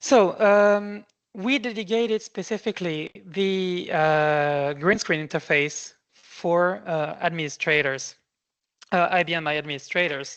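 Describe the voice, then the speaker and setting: Against a quiet background, a woman with an unremarkable speaking voice and a fairly low pitch speaks at a fairly slow pace with ordinary pitch variation. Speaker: software presenter. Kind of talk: webinar product demo.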